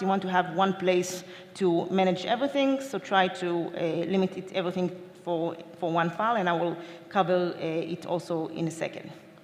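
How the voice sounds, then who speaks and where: Audible room echo and noticeable background noise. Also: woman. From Israel. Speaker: DevOps engineer, conference speaker. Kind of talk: conference talk. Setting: stage with audience. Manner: fast.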